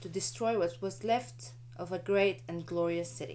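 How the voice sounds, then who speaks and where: At a moderate pace, the speaker talks with a non-native accent. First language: not English. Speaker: architecture student. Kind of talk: student presentation.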